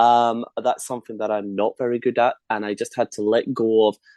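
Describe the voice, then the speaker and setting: A man with a Scottish accent speaks in a dark, mellow tone. The sound is dry and close with no echo, and the background is quiet. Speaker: medium and author. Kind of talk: casual interview chat.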